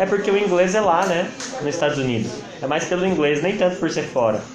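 Noticeable background noise and audible room echo around a man talking fairly quickly. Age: 20s. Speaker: physiotherapist. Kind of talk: casual chat.

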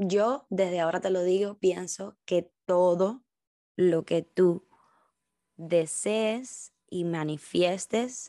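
A woman with a Cuban accent, medium pitch, and ordinary pitch variation, over a quiet background. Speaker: podcast host, dancer and dance teacher. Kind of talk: personal reflection monologue.

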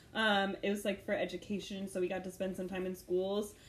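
Someone with an American accent talks at a fairly quick pace amid noticeable background noise. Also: woman. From St. Louis, Missouri. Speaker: podcast co-host. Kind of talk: casual chat.

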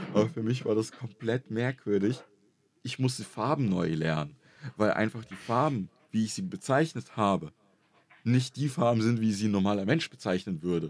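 A man at medium pitch in a normal speaking voice, lively in intonation and moderate in pace. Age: 20s. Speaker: YouTuber and streamer. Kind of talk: casual chat.

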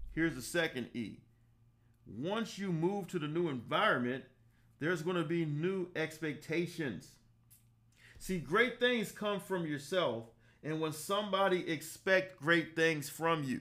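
Energetic and bright, a man with an American accent speaks at a high pitch with a sharp tone, ordinary pitch variation, and a fairly slow pace. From US South, Savannah, Georgia. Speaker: life coach and podcast host. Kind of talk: motivational talk. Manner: energetic, preacher-like.

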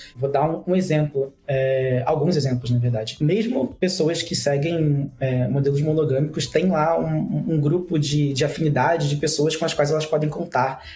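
Pitched fairly high, a man speaks at a moderate pace with hardly any pauses, ordinary pitch variation and very even loudness. Noticeable background noise is present. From Rio de Janeiro, Brazil. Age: 30s. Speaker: father of two. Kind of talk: casual chat.

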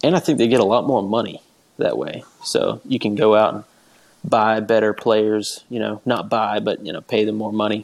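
A man has an ordinary speaking voice, pitched fairly low with ordinary pitch variation. He talks at a moderate pace. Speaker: podcast host. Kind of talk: casual chat.

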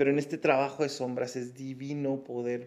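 His intonation stays monotone and flat. The man's pitch sits at a medium level. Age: 40s. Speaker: podcast host and life coach. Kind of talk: motivational monologue; guided meditation.

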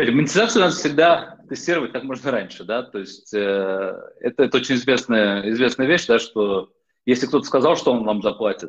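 Lively intonation from a man speaking fairly quickly. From Netherlands (born Moscow, childhood in US). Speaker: investor and entrepreneur. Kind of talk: interview. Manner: halting.

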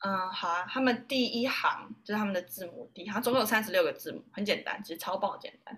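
Talking at a very fast pace with hardly any pauses, a woman with a fairly high pitch and a bright, sharp tone makes big swings in loudness. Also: ordinary pitch variation. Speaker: yoga teacher and university student. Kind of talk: interview. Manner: animated.

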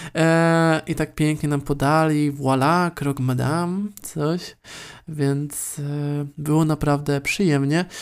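A man's fairly high voice at a very slow pace, with very even loudness and monotone, flat intonation, in a very clean recording with a silent background. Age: 20s. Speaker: podcaster. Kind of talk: solo podcast monologue.

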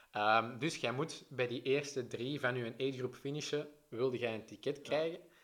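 In an unremarkable speaking voice, a man talks at a moderate pace and medium pitch, with fairly even intonation and hardly any pauses. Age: 20s. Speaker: triathlete and press officer. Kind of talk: casual chat. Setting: in person, arrived running.

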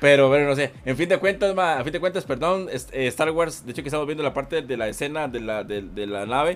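In an unremarkable speaking voice, a man talks at a fairly quick pace with hardly any pauses, using lively intonation at a fairly high pitch. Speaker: gaming YouTuber. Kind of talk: casual chat.

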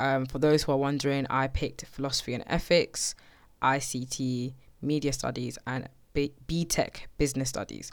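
On a very clean recording with a silent background, a woman with a very deep, low pitch speaks in a monotone, flat way at a moderate pace. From Slough, west of London, England. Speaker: podcast host. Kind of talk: personal storytelling monologue.

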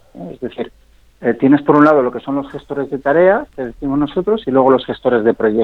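A man with a fairly high voice talks at a fairly quick pace, his loudness swinging widely while his pitch varies in an ordinary way. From Spain, Zaragoza (English mother). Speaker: startup founder and CEO. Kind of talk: radio interview.

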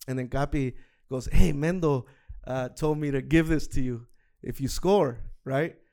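Animated in tone, a man with fairly high pitch speaks at a moderate pace. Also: long, frequent pauses. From Fresno, California (Central Valley), Salvadoran heritage. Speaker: soccer guest, youth soccer coach. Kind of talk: casual chat.

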